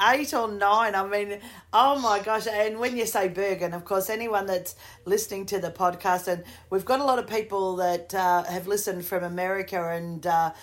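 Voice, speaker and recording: Speaking with an Australian accent, a woman keeps a moderate pace and ordinary pitch variation. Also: medium pitch for a woman. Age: 50s. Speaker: podcast host and singer. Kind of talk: interview.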